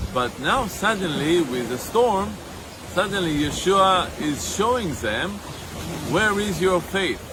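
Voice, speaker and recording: Raising and projecting his high voice, a man speaks very slowly with lively intonation amid audible room echo and noticeable background noise. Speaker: ministry leader. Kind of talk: outdoor video teaching. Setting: outdoors by a lake. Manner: loud.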